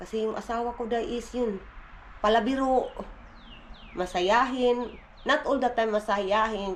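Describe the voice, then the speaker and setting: A woman's fairly high voice at a moderate pace. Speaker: family vlogger. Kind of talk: casual vlog. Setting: outdoors on porch. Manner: soft-spoken.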